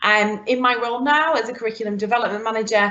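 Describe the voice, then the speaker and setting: A woman speaks with a northern English accent. Her pace is fairly quick. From northern England. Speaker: curriculum development manager. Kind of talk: live webinar presentation. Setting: online live event.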